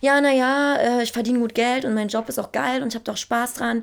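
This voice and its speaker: A woman with a fairly high pitch talks in an animated tone at a fairly quick pace on a very clean recording with a silent background. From Berlin, Germany. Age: 20s. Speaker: singer. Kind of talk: interview.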